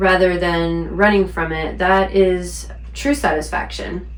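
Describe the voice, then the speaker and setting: Someone speaks at a fairly slow pace. Noticeable background noise runs underneath. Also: woman. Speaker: spiritual teacher, intuitive practitioner. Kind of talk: spiritual talk to camera. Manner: unpolished, stumbling.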